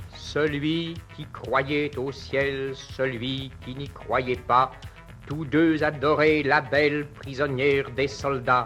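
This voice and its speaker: A man's fairly high voice at a very slow pace, fairly even in intonation, with big swings in loudness and music in the background. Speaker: poet reading his own poem. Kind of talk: poetry reading. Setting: old archival recording, voice over music.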